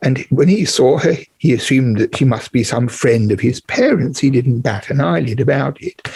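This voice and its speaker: A somewhat breathy man with an English accent. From England. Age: 70s. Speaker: historian of ancient Mesopotamia. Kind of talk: interview.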